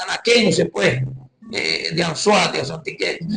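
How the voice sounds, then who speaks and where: This is a man speaking. He has a Venezuelan accent. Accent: Guárico Venezuelan accent, noticeable. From Venezuela, Guárico. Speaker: evangelist preacher. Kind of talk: testimony.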